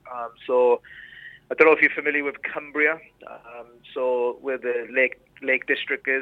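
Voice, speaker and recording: A man with a Welsh accent, moderate pace, monotone, flat intonation, big swings in loudness, and long, frequent pauses. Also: medium pitch for a man. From Rhondda, Wales. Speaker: former reality TV contestant. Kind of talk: casual interview chat.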